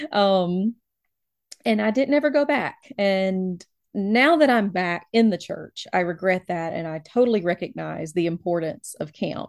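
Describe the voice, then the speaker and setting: On a very clean recording with a silent background, a woman with an American accent speaks fairly slowly at a medium pitch, a plain, everyday voice. Her intonation is lively. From US South, Alabama. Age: 30s. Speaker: librarian and church elder. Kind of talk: interview.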